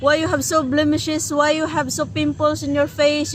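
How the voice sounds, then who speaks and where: A woman with a Filipino accent speaks at a moderate pace. Noticeable background noise can be heard. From Philippines. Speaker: language and culture tutor, co-host. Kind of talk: casual chat.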